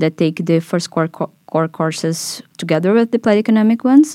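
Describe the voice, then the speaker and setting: A woman with a Portuguese accent speaks in a fairly low pitch with a dark, mellow tone and ordinary pitch variation, captured in a very clean, dry, close recording with no echo and a silent background. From Brazil. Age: 20s. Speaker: master's student. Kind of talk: casual interview.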